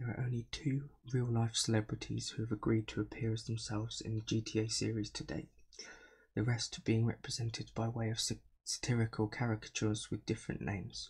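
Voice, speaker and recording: A man speaks at a medium pitch, somewhat breathy and fairly quick. His intonation stays fairly even on a very clean recording with a silent background. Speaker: ASMR creator. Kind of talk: reading an article aloud.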